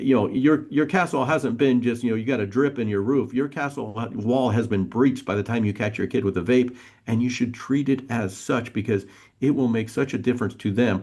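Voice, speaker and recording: At medium pitch with ordinary pitch variation, a man speaks in an unremarkable speaking voice. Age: 50s. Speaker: police officer. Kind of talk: interview.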